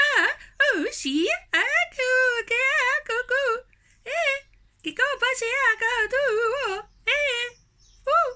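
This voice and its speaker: A squeaky, extremely high-pitched put-on character voice. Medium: read story. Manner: halting, babbling.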